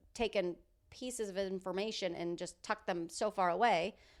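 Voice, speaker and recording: On a very clean recording with a silent background, a woman speaks at a moderate pace. Her pitch is medium, with ordinary variation. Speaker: podcast co-host. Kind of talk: casual chat. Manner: halting.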